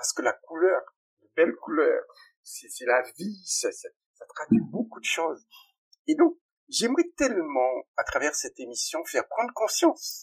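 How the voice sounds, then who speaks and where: In a dry, close sound with no echo, a man speaks at a fairly slow pace. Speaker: pharmacist and plant-dye entrepreneur. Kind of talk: interview. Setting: recording studio. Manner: animated.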